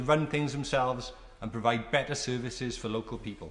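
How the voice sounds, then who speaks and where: A man with a South Wales Valleys accent talks at a very fast pace with ordinary pitch variation over noticeable background noise. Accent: South Wales Valleys Welsh English. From South Wales Valleys (Tredegar). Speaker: member of parliament. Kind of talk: parliamentary maiden speech. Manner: formal.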